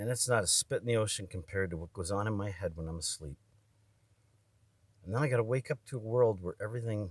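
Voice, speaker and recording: A man's fairly low, somewhat breathy voice at a very fast pace, broken by long, frequent pauses, with ordinary pitch variation and a dry, close sound with no echo. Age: 50s. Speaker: video blogger. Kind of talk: personal monologue. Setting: indoors in a barn room. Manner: rambling, hesitant.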